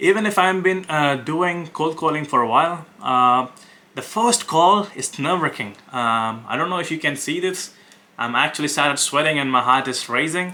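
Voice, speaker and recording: Speaking in an Indian accent at a moderate pace, a man has a fairly high pitch, lively intonation and a bright, sharp tone. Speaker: web design agency owner. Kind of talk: cold sales calls and vlog commentary. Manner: hesitant, many fillers.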